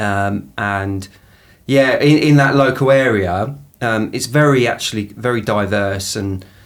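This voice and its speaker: A man speaks with an Essex accent and ordinary pitch variation. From southeast England, Essex. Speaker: equality, diversity and inclusion professional. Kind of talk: podcast interview. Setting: studio. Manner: halting, many fillers and repetitions.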